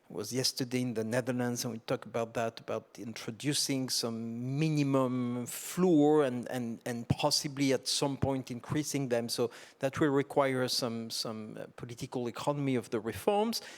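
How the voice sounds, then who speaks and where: This man speaks at a moderate pace with hardly any pauses, his medium pitch and fairly even intonation captured in a very clean recording against a silent background. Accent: French. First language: French. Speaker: tax policy expert, panelist. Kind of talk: panel discussion. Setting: conference stage with audience.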